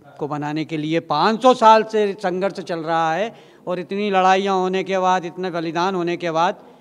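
Here a man speaks at a fairly slow pace. His pitch variation is ordinary. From Bhopal, Madhya Pradesh, India. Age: 50s. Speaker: sadhu, former kar sevak. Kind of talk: interview testimony. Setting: in a temple. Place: church. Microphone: handheld.

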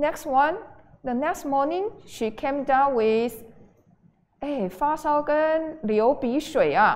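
Very slowly, a woman speaks in a high voice with lively intonation. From Taiwan. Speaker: junior high English teacher. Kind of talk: online lecture. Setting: livestream. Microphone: studio mic.

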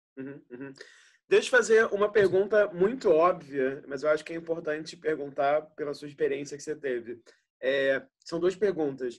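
Against a quiet background, a man with a fairly high pitch speaks at a moderate pace in a plain, everyday voice, with lively intonation and big swings in loudness. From Rio de Janeiro, Brazil. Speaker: interviewer, curator; interviewer. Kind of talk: interview. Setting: video call. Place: home room. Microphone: video call.

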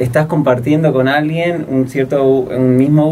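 The speaker is a man talking at a fairly slow pace. His intonation is monotone and flat, with light background noise. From Corrientes, Argentina. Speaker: young poet; guest. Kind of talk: interview; poetry reading. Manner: halting. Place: studio. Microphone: studio mic.

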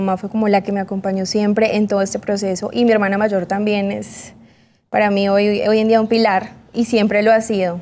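Monotone and flat in intonation, a woman talks at a fairly quick pace in a dark, mellow tone. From Colombia. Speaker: model; interview guest. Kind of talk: interview. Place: studio. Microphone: lapel.

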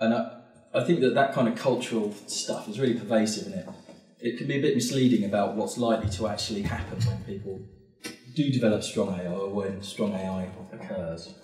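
Faint music plays in the background as someone talks at a fairly quick pace amid audible room echo. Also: man, ordinary pitch variation. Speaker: presenter. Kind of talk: casual talk to an audience. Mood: relaxed, humorous. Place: hall.

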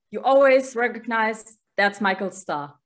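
Against a quiet background, a woman with a German accent speaks at a moderate pace, her fairly high voice carrying lively intonation. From Germany. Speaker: band superfan, office clerk; interviewee. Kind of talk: casual interview. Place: home room. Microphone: video call.

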